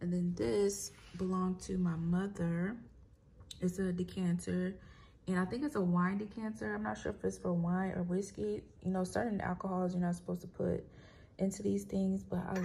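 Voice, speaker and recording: A woman's somewhat breathy voice with lively intonation at a moderate pace. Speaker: home decor vlogger. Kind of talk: casual vlog chat. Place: home room. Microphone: phone near.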